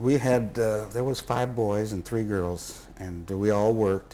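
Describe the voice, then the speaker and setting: Fairly slow and fairly even in intonation, the speaker has a dark, mellow tone and a Midwestern US accent. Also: man. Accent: US Midwest. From Indianapolis. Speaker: interviewee recalling family history. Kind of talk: interview. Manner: halting.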